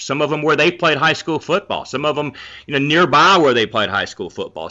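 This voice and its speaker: Pitched fairly high, a man speaks with a Southern US accent. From North Carolina, Charlotte. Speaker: sports journalist. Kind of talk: casual interview.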